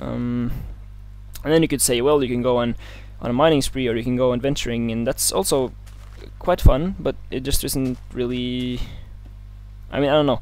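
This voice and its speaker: A man with a non-native accent at medium pitch and moderate pace, fairly even intonation, long and frequent pauses, music in the background. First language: not English. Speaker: gaming let's play youtuber. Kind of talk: casual gameplay commentary. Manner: hesitant, many fillers.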